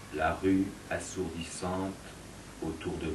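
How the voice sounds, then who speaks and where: A man speaks in a very deep, low pitch with a somewhat breathy voice. His intonation is monotone and flat. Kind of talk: poetry reading.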